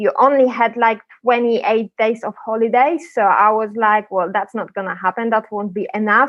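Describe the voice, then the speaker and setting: A woman speaks in a Polish accent at a fairly high pitch. Her pace is moderate, with ordinary pitch variation. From Poland. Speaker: property sourcing agent. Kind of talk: podcast interview.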